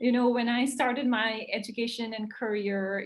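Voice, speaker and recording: The speaker has an Indian accent and fairly even intonation. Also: woman. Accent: Indian accent, noticeable. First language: an Indian language. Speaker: wildlife conservationist. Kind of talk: interview. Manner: many fillers, hesitant.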